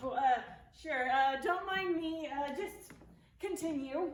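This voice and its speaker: A high-pitched, put-on character voice at a fairly slow pace, with a slight echo. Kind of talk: comic children's theatre. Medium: stage play. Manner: hesitant, sheepish, easily confused.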